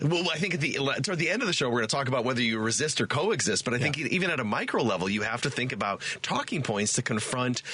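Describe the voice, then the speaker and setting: Over noticeable background noise, a man talks at a very fast pace with a medium pitch. His intonation is lively and his loudness very even. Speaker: political science professor. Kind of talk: talk radio guest hosting.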